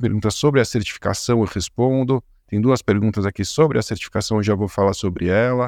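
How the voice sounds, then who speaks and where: A man with a Brazilian accent, fairly low in pitch, with fairly even intonation at a moderate pace, in a very clean recording with a silent background and a dry, close sound without echo. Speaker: podcast host, compliance educator. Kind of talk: interview podcast. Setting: live stream with chat.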